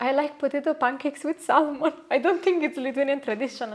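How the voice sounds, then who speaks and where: The speaker uses ordinary pitch variation with a Neapolitan accent. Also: woman. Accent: Italian (Neapolitan) accent in English. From Italy, Naples. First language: Italian. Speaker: Italian expat interviewee. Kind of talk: casual interview chat. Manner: hesitant, many fillers.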